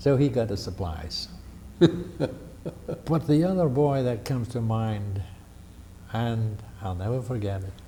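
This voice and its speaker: Speaking at a very slow pace with an American accent, a man has a dark, mellow, somewhat breathy tone at medium pitch and lively intonation. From New Jersey, USA. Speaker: World War II veteran. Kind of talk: oral history interview answer. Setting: library.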